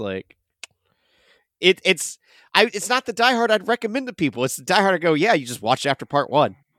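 A man talks with vocal fry. The sound is dry and close, with no echo. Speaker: podcast co-host. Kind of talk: casual chat.

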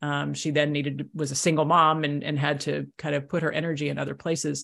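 Against a quiet background, a woman talks very fast at a very deep, low pitch. Her voice has vocal fry and fairly even intonation. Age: 50s. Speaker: pastor and author. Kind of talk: casual chat.

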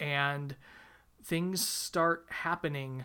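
Here a man speaks at a fairly high pitch with a bright, sharp tone and fairly even intonation. The recording is very clean, with a silent background. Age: 40s. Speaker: book youtuber. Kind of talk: casual chat.

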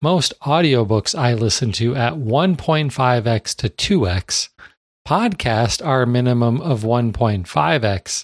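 A man at medium pitch with lively intonation and an unremarkable speaking voice, dry and close with no echo, on a very clean recording with a silent background. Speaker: podcast host. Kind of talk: casual podcast chat.

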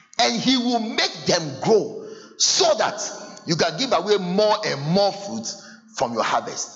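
With a Ghanaian accent, a man talks at a fairly slow pace, his pitch swinging very widely. Audible room echo and noticeable background noise surround him. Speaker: pastor. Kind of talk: sermon. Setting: church with congregation. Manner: animated.

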